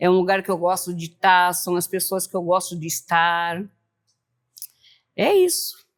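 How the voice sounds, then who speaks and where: A woman speaks at medium pitch in a flat, monotone way. She goes fairly slowly, with long, frequent pauses. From southern Brazil, Joinville, Santa Catarina. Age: 50s. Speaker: samba dancer, club member. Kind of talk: group interview.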